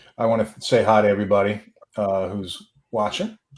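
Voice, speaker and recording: In a New York accent, a man speaks with a fairly low voice. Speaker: podcast host. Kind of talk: casual chat.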